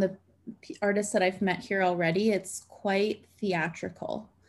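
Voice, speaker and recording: She has a medium-pitched voice. The woman speaks at a fairly slow pace. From Canada. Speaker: dancer and choreographer. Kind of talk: casual interview chat.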